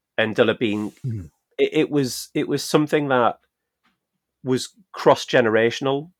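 A man with a Geordie accent and a fairly high voice, fairly slow delivery with long, frequent pauses, dry and close with no echo. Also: ordinary pitch variation. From Newcastle, northeast England. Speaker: podcast co-host. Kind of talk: casual chat.

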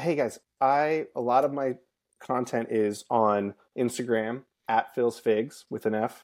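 A man with an American accent, a normal speaking voice, medium pitch and ordinary pitch variation. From Lancaster, Pennsylvania, US. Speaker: fig grower and geologist. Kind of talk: casual interview chat.

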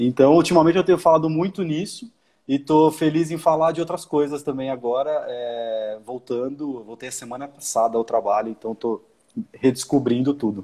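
Using a dark, mellow tone and fairly high pitch, a man talks at a moderate pace with big swings in loudness. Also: ordinary pitch variation. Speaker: marketing director. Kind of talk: casual interview chat. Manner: hesitant, many fillers.

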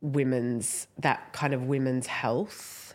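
With an Australian accent, a woman is talking. Her voice sits very deep and low. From Australia, Italian background. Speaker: podcast co-host, postpartum carer. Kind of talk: casual chat.

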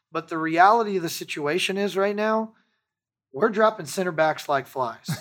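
A man's plain, everyday voice at a moderate pace, on a very clean recording with a silent background. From Texas. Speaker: football fan podcast host. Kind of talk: casual chat. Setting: studio.

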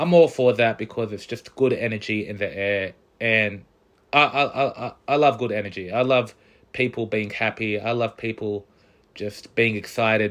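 The man has an Australian accent and a medium pitch. He keeps a moderate pace and fairly even intonation. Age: 20s. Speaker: podcast host. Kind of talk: casual solo podcast monologue.

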